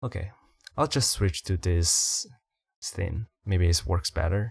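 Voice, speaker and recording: Very slow and somewhat breathy, the speaker uses lively intonation with a non-native accent, in a dry, close sound with no echo and a very clean recording with a silent background. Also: man, very deep, low pitch for a man. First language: not English. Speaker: indie VTuber streamer. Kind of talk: debut livestream self-introduction. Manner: halting, self-correcting.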